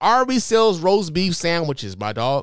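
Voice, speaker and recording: Speaking fairly quickly with an American accent, a man's pitch swings very widely in a dry, close recording with no echo, very clean and with a silent background. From Chicago. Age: 40s. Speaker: podcast host. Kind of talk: casual commentary podcast. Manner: animated.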